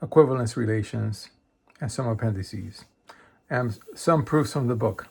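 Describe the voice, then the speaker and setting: Speaking at a moderate pace with long, frequent pauses, a man uses a somewhat breathy, medium-pitched voice with ordinary pitch variation. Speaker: math self-study video creator. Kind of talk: casual book review. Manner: halting with fillers.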